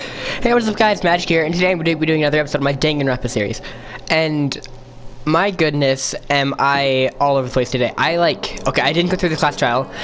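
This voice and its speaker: A very fast pace over noticeable background noise. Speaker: gaming video creator. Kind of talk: let's play commentary with reading game text aloud. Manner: halting, many restarts.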